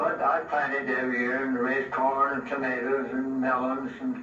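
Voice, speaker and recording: A man at medium pitch talks at a moderate pace with ordinary pitch variation. Audible room echo and noticeable background noise surround him. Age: 80s+. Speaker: castle builder. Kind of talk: casual storytelling.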